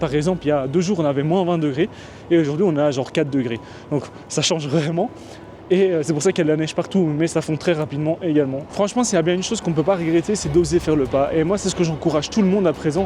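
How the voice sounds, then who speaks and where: Very fast speech from a man, fairly high in pitch and ordinary in pitch variation. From Belgium. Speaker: vlogger. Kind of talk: casual talk to camera.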